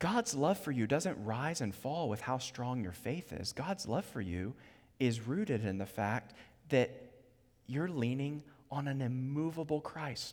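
In a normal speaking voice with an American accent, the speaker goes at a fairly slow pace with lively intonation, on a very clean recording with a silent background. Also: man, medium pitch for a man. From US, Virginia (Charlottesville). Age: 30s. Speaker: preacher. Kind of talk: sermon.

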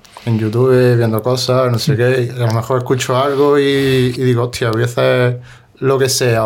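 Flat, monotone speech comes at a moderate pace with audible room echo. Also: man. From Spain, Granada. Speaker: musician and producer. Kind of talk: casual chat.

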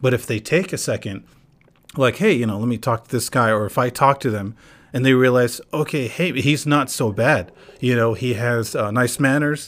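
Talking at a moderate speed, the man uses a plain, everyday voice, its medium pitch rising and falling in an ordinary way. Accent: American. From North Carolina, US, with some years in Palestine. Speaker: podcast host. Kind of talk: casual chat.

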